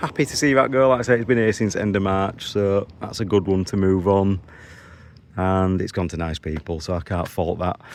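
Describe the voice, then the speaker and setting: A man with a Yorkshire accent, fairly low pitch and ordinary pitch variation at a moderate pace, against a quiet background. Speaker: used car dealer. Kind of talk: vlog. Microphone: new phone.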